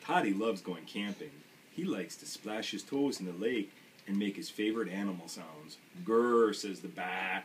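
What is heard is a natural reading voice.

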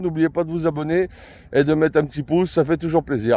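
Very fast, fairly high male voice with a dark, mellow tone and dry sound with no echo. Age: 50s. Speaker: mushroom-hunting YouTuber; foraging channel vlogger. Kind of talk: casual channel introduction vlog; casual vlog chat. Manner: hesitant, many fillers. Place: forest. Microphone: phone near.

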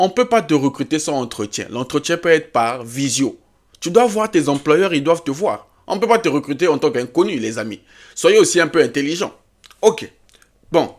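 A man's fairly high voice at a moderate pace, with very wide pitch swings and long, frequent pauses. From Africa. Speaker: YouTube career advice creator. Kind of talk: tutorial. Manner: animated.

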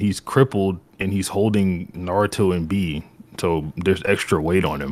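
This man has an unremarkable speaking voice, fairly low in pitch, and talks at a moderate pace. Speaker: anime debater. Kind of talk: timed debate argument.

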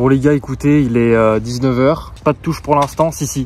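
A man at a moderate pace with fairly even intonation, dry sound with no echo, light background noise. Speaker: fishing vlogger. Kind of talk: casual vlog chat. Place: waterside. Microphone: phone near.

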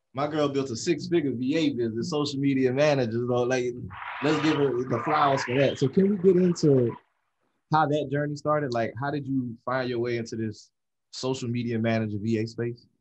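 Noticeable background noise sits behind a man who speaks at a fairly quick pace. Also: ordinary pitch variation. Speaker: podcast host. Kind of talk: casual chat. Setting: studio. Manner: animated. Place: studio. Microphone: studio mic.

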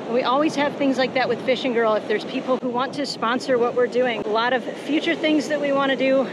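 The pace is fairly quick. The sound is dry with no echo, and there is noticeable background noise. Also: woman. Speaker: fishing guide vlogger. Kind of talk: casual vlog chat. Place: beach. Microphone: phone near.

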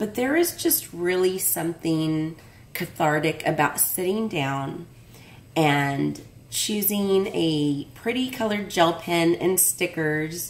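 The woman's pitch is fairly low. She talks at a very slow pace. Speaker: craft vlogger opening mail. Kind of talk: casual vlog chat. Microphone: phone near.

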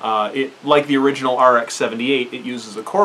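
Light background noise sits under a man's speech. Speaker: hobby reviewer. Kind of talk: casual vlog commentary. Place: home room. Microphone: camera far.

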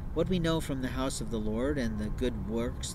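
Recorded dry with no echo, a man speaks over loud background noise. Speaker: speaker. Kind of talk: monologue to camera. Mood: earnest, somewhat aggrieved. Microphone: phone near.

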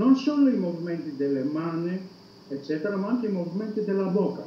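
With light background noise and audible room echo, a man talks at a high pitch in very wide pitch swings. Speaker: psychology professor. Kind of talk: interview answer. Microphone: video call.

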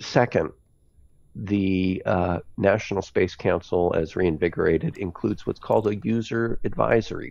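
The speaker has an ordinary speaking voice with an American accent and ordinary pitch variation at a moderate pace. The background is quiet, and the sound is dry with no echo. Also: man, fairly low pitch for a man. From United States. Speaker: space policy expert; remote speaker. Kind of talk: online conference talk. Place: home room. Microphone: headset.

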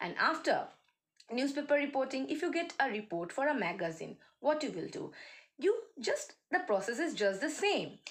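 A woman talks in a high voice at a moderate pace. Her pitch swings very widely. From India, West Bengal. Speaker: college English teacher. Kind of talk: lecture. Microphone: phone near.

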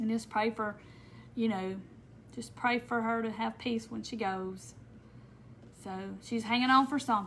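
With long, frequent pauses, a woman in a Southern US accent speaks at a fairly high pitch with fairly even intonation over light background noise. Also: moderate pace. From Mississippi. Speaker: crafter; craft live streamer. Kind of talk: live craft tutorial. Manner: casual. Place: home room. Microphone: phone near.

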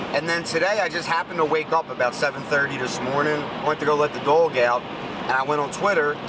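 A man rattles along very fast in a dry, echo-free sound while loud noise plays behind him. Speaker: sneaker vlogger. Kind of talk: casual vlog chat. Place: car. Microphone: phone near.

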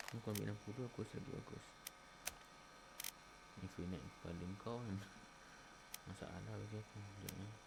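The speech moves at a fairly quick pace but has long, frequent pauses, with noticeable background noise behind it. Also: man, fairly low pitch for a man. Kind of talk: casual gameplay commentary. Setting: cheap microphone. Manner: chatty, lively.

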